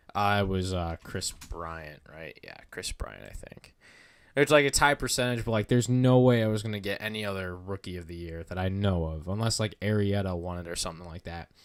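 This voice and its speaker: A man's fairly low voice at a fairly quick pace, with ordinary pitch variation and big swings in loudness. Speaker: baseball content creator. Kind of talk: live stream commentary. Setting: live stream. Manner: casual, filler-heavy.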